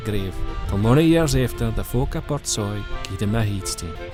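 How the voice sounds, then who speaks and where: Music plays in the background as a man with a northeast Scottish accent talks at a fairly quick pace. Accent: North-east Scottish (Doric). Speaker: narrator. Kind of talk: documentary narration.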